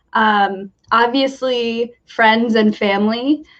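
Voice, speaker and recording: A woman speaks at a very slow pace in a Midwestern US accent. Her pitch is fairly high, with ordinary variation. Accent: General American, Midwestern. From US Midwest, Michigan. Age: 20s. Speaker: university graduate, English coach. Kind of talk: casual interview.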